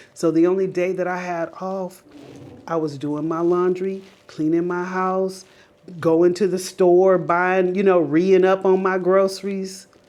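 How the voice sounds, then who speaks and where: A woman's medium-pitched voice with an American accent, at a fairly slow pace, in audible room echo. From Las Vegas, Nevada, US. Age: 40s. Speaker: lifestyle vlogger. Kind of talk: personal testimony monologue. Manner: animated, conversational.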